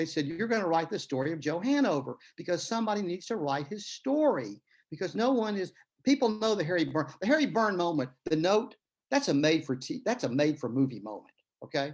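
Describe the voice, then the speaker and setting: A man with a Tennessee accent, a high pitch and very wide pitch swings, over a quiet background. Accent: Tennessee Southern drawl. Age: old. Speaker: author and retired lawyer. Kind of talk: interview conversation. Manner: storytelling, many fillers.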